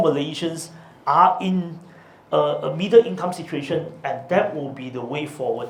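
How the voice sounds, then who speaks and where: Through audible room echo and noticeable background noise, a man talks at a fairly slow pace with ordinary pitch variation. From Malaysia, Subang Jaya near Kuala Lumpur. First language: Chinese. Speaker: politician. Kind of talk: policy talk; Q&A answer. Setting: talk with audience at a law firm. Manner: hesitant with fillers.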